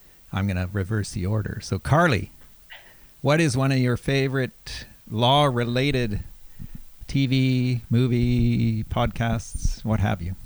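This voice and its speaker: Here a man speaks fairly slowly in an ordinary speaking voice. His pitch is medium, with ordinary pitch variation. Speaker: law professor, podcast host. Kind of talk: casual chat. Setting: video call.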